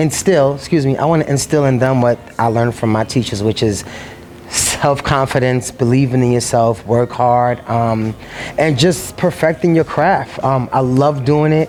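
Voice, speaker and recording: Over noticeable background noise, a man in a New York accent talks at a moderate pace and medium pitch, with ordinary pitch variation and very even loudness. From New York City. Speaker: singer and dance teacher. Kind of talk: casual interview talk. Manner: hesitant, many fillers.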